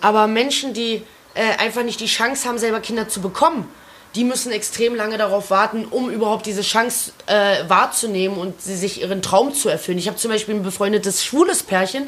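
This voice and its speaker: A woman speaks with a fairly high pitch and ordinary pitch variation. Noticeable background noise can be heard. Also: fairly quick pace. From Lower Saxony, small village. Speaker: podcast co-host. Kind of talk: casual chat.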